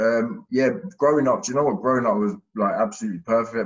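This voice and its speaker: A man's very fast speech with fairly even intonation, in a slight Essex accent. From Hertfordshire near Essex, England. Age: 20s. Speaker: podcast guest, recovering ex-offender. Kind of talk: casual interview chat. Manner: halting, many fillers.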